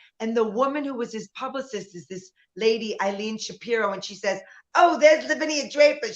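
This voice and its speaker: In a New York accent, a woman speaks with a high pitch and an animated tone. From US Northeast, New York City (Bronx). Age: 60s. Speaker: nightclub singer and performer. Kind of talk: casual chat.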